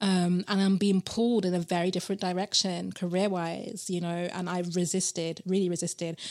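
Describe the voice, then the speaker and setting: In a very clean recording with a silent background, a woman speaks at a fairly quick pace in a medium pitch with a British accent and monotone, flat intonation. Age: 30s. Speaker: tarot reader and PhD student. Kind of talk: casual interview chat.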